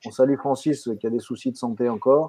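Here is a man with an unremarkable speaking voice, ordinary pitch variation and a moderate pace. The sound is dry with no echo, against a quiet background. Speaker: webinar moderator. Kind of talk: live online webinar. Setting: video call. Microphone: video call.

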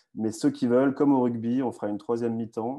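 Over a quiet background, a man speaks at a fairly quick pace. His tone is dark and mellow, his intonation fairly even. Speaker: online news host. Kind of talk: live video discussion. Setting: video call. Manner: halting, many repetitions. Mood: friendly, relaxed. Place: home room. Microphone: earbuds.

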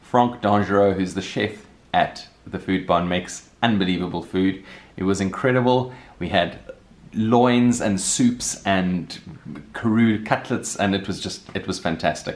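A man with a plain, everyday voice speaks at a fairly slow pace in a fairly low pitch with fairly even intonation. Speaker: vlogger. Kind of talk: casual vlog chat. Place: home room. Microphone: phone near.

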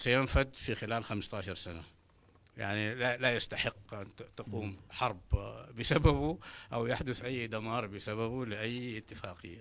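Delivered fairly slowly, the speech shows ordinary pitch variation. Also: man, medium pitch for a man. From Sudan. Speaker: political party representative; panelist. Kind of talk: panel discussion. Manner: hesitant, with filler sounds. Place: meeting room. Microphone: handheld.

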